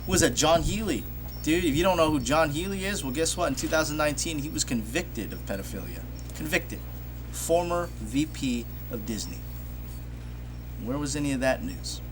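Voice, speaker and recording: A man's animated, fairly quick delivery broken by long, frequent pauses, with audible room echo. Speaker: film commentary youtuber. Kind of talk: live casual discussion. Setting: outdoors. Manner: loud.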